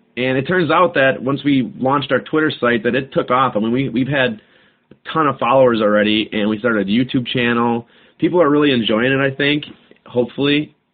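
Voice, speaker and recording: Here is a man with a plain, everyday voice at medium pitch. He talks fairly quickly with ordinary pitch variation. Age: 20s. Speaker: podcast host. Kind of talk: casual solo talk. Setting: home recording, alone. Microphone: cheap microphone recorded on a cell phone.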